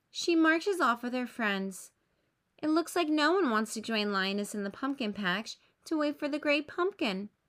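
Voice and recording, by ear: A woman with a high pitch and fairly bright tone speaks with lively intonation. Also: moderate pace, very clean recording, silent background.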